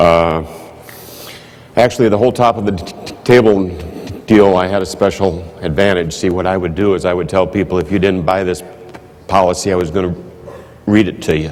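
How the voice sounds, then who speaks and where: A man with a Midwestern American accent speaks at a very deep, low pitch and a fairly quick pace, with long, frequent pauses. His intonation is fairly even, with audible room echo and noticeable background noise. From US Midwest, Iowa. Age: 60s. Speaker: insurance manager. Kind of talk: conference speech.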